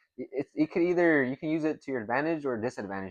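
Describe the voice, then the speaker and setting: Against a quiet background, a man with an American accent has an ordinary speaking voice, lively intonation and a fairly quick pace. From California Central Coast. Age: 20s. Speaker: college student athlete. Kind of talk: casual conversation.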